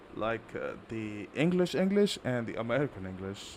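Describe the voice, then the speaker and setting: A man with an Indian accent speaks with very wide pitch swings. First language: not English. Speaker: gaming streamer. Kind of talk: live gameplay stream chat.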